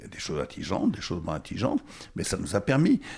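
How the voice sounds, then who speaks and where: This man sounds somewhat breathy. His pitch variation is ordinary. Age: 70s. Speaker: former mayor. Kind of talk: interview. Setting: bookshop. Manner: halting.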